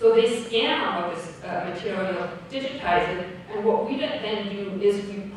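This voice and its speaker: A woman speaks at a fairly slow pace. Strong room echo and light background noise surround her voice. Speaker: conference presenter. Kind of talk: lecture. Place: hall.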